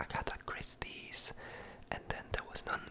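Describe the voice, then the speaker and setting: Someone whispers over noticeable background noise. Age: 20s. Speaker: ASMR creator, student of English philology. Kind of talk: ASMR Q&A, casual talk to camera.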